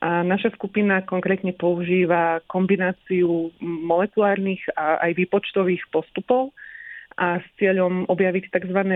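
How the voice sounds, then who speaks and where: At a fairly slow pace, a woman talks with monotone, flat intonation and very even loudness. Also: medium pitch for a woman. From Slovakia, Sereď. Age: 30s. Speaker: molecular biologist. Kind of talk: radio interview.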